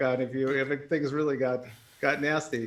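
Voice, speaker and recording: An American accent marks this man's bright, sharp voice. His pitch is fairly high and his pace fairly quick. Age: 60s. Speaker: jazz musician. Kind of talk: casual chat.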